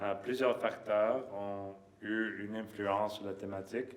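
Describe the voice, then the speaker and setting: Audible room echo surrounds a man speaking at a fairly slow pace. His pitch is fairly low and his intonation is flat and monotone. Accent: non-native. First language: not French (speaking French). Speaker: lab director and professor. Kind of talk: conference opening remarks. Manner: halting, many fillers.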